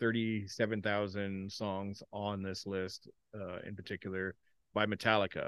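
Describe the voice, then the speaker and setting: A man with a plain, everyday voice, a Canadian accent, fairly low pitch, and moderate pace. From Canada, Ontario. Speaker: podcast co-host. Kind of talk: casual chat.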